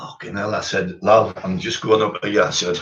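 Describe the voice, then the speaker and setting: The speaker is a man. He talks with a Teesside accent. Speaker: former doorman telling stories. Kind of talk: casual storytelling chat.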